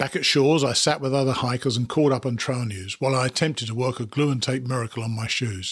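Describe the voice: Someone does plain reading aloud here.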